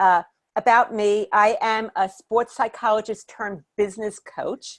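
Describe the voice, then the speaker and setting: Against a quiet background, a woman with a New York accent speaks at a fairly slow pace and fairly high pitch. Her intonation is fairly even, and the sound is dry and close with no echo. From Brooklyn, New York, then Miami, Florida. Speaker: business coach. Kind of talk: webinar presentation.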